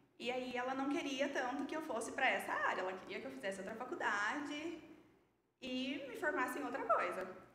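There is audible room echo around this woman's voice. Her intonation is lively. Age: 20s. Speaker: beauty entrepreneur. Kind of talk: interview, personal testimony.

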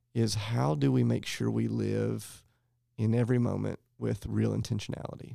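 A man with an American accent at a moderate pace, the sound dry and close with no echo. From US South, Charleston, South Carolina. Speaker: pastor. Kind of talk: interview.

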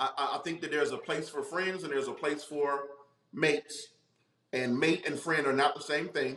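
A man speaks in an American accent, with an ordinary speaking voice. His pitch is fairly high, his pace moderate and his intonation fairly even. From North Carolina. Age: 40s. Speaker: actor and comedian. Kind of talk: casual interview.

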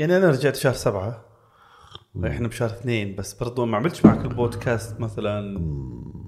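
A man's unremarkable speaking voice, medium in pitch and fairly quick, with lively intonation and big swings in loudness. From Palestine. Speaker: tech content creator. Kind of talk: casual chat.

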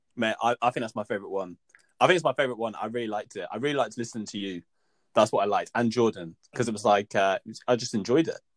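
Against a quiet background with dry, close sound and no echo, a man with an English accent talks very fast at medium pitch with ordinary pitch variation. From England. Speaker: podcast co-host. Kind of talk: casual chat.

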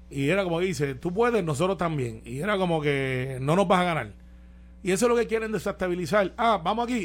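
A man talks at a moderate pace with lively intonation in an ordinary speaking voice. The recording is very clean, with a silent background. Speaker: radio show panelist. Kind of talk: casual chat.

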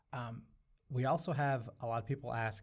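Medium in pitch, a man's voice comes across somewhat breathy. The recording is very clean, the background silent. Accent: American. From Syracuse, New York, US Northeast. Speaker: campus police officer. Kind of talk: podcast interview.

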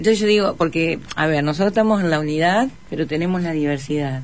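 With a normal speaking voice, a woman talks at a moderate pace in a fairly low pitch and lively intonation. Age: 50s. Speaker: political candidate. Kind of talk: radio interview.

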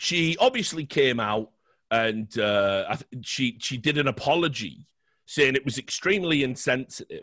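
A man with a British accent speaks at a fairly slow pace, his medium pitch carrying lively intonation and a bright, sharp tone. The sound is dry and close with no echo, over a quiet background. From Britain. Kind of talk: casual chat. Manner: animated.

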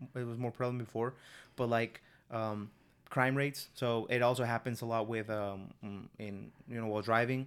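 This man has a Spanish accent and a medium pitch. His intonation is monotone and flat. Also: moderate pace. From Mexico. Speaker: podcast guest. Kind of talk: casual chat. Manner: quiet; halting.

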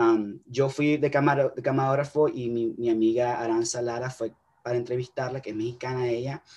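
At a fairly quick pace, a man with a Nicaraguan accent speaks in a medium pitch with monotone, flat intonation. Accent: Nicaraguan Spanish, uses voseo. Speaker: young documentary filmmaker. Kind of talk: interview. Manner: halting, with many repetitions.

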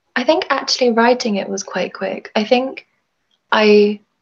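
A somewhat breathy woman's voice in a southern English accent, with fairly even intonation. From Brighton, southern England. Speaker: author. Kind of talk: casual interview. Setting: video call.

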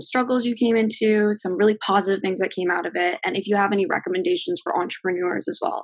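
With a plain, everyday voice, a woman of medium pitch talks at a fairly quick pace, barely pausing, her intonation lively. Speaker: student podcast host. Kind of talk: casual interview chat. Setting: video call.

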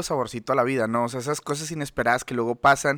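Very fast speech from a man, very cleanly recorded against silence. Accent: Mexican. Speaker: podcast host. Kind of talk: interview. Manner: hesitant, many fillers.

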